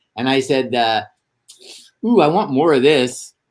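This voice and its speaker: A man with an American accent speaks at a very slow pace. His intonation is lively. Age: 70s. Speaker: actor and screenwriter. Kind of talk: casual interview storytelling. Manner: animated.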